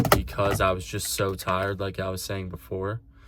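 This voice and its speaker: With a fairly low pitch, a man speaks at a moderate pace as noticeable background noise carries on. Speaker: vlogger. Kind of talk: casual vlog. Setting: in a car. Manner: loud.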